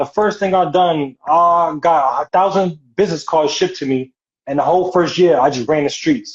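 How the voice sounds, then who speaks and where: The speaker has a strong New York accent. The pace is fairly quick. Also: man. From New York City. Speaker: model and actor. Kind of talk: interview.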